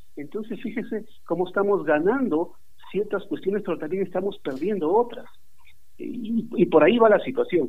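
A man speaks with lively intonation. His pitch sits high. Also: moderate pace. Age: 40s. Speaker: journalism professor. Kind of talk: interview. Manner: halting.

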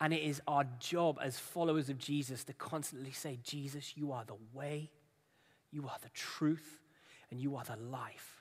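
Fairly even intonation in a man's fairly high-pitched voice. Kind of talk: sermon ending in a guided prayer. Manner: hushed, slow and tender, with halting pauses as he invites the congregation to pray.

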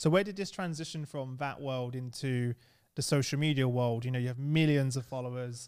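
A man with an East London accent speaks at a fairly quick pace in a medium pitch, with ordinary pitch variation, on a very clean recording with a silent background. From East London, England. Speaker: podcast host. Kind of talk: casual interview.

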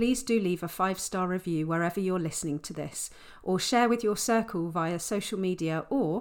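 Throughout, the voice is an unforced reading voice.

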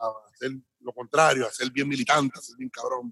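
A man's fairly high voice at a very fast pace, in a dry, close sound with no echo. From Puerto Rico. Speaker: hip hop DJ and radio DJ. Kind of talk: casual interview.

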